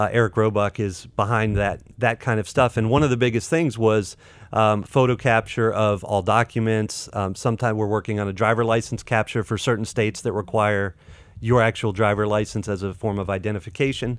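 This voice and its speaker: A man with an American accent and an unremarkable speaking voice speaks at a fairly quick pace. His pitch is fairly low and his intonation fairly even. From North Carolina. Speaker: fintech marketing professional. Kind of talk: casual interview.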